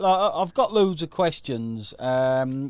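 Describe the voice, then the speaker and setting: On a very clean recording with a silent background, a man with a British accent speaks fairly high, his pitch swinging very widely. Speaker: affiliate marketing coach and livestream host. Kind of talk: live stream interview hosting. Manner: upbeat.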